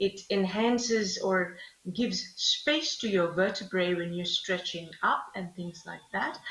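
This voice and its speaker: Amid noticeable background noise, a woman with a Bengali accent speaks at a very slow pace. Her pitch sits at a medium level with ordinary variation. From Bangladesh. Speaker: yoga instructor. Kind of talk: live fitness class. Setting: live stream. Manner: halting.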